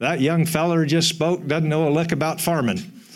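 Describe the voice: A man puts on a drawling character voice with a Southern accent, fairly high in pitch and monotone, with flat intonation. His loudness stays very even at a moderate pace.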